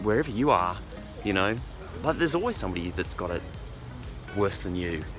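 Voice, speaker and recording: A man's pitch swings very widely as music plays in the background. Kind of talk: casual vlog talk to camera on a morning walk. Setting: outdoors.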